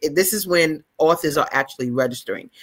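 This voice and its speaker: A woman speaks with a New York accent in an animated tone. Her intonation is lively. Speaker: author and book fair founder. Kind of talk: casual chat. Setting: live stream.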